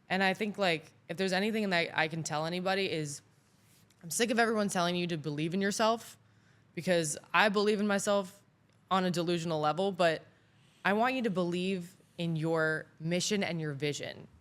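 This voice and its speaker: A woman at a fairly quick pace, fairly low in pitch with ordinary pitch variation, in a very clean recording with a silent background. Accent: Florida. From southern Florida, Mexican family. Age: 20s. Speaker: AI expert. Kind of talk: casual interview chat. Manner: animated.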